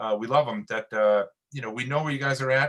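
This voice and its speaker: The speaker talks at a very fast pace with a New York accent. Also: man. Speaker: Coast Guard officer. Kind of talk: webinar briefing.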